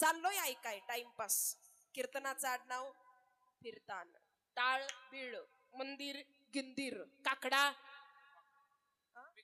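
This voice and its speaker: A woman speaks in a raised, projected voice with a high pitch and ordinary pitch variation. Her tone is bright and sharp. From Maharashtra, Pandharpur area. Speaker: kirtan performer. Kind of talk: kirtan, devotional storytelling performance. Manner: animated, acting out dialogue.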